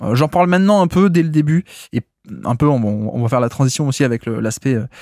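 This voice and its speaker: A fairly high-pitched man with a southern French accent, lively intonation and a fairly quick pace, on a very clean recording with a silent background. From southern France. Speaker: basketball podcaster. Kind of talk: solo podcast analysis. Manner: hesitant, many filler sounds.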